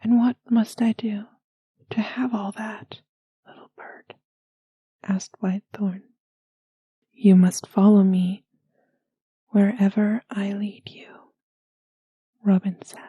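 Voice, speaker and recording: A soft-spoken woman with a gentle, dark, mellow tone and a somewhat breathy voice speaks very slowly at a medium pitch in a monotone, flat way, with long, frequent pauses, big swings in loudness, and a dry, close sound with no echo. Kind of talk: bedtime story reading. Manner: soft-spoken, gentle.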